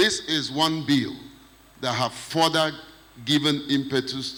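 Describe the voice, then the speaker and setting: A man speaks at a fairly slow pace, his fairly high pitch moving with ordinary variation. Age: 60s. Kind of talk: panel discussion.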